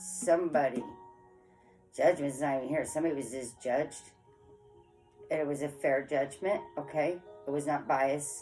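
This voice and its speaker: A woman's very deep, low voice with ordinary pitch variation, long and frequent pauses, and music in the background. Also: moderate pace. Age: 40s. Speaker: tarot reader. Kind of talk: casual tarot reading to camera. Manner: frank, forthright.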